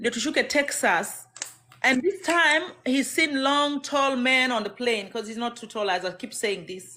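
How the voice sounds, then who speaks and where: A woman with a Kenyan accent speaks at a fairly slow pace in a raised, projected voice that is high in pitch and bright and sharp in tone, with lively intonation and big swings in loudness. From Kenya, Maragoli from Kakamega area. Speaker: domestic violence survivor. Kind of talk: testimony.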